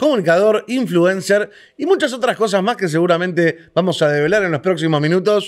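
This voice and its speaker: A man with a Rioplatense accent, his pitch high for a man, his intonation lively. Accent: Argentine Rioplatense Spanish. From Argentina. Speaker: interview host. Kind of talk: interview.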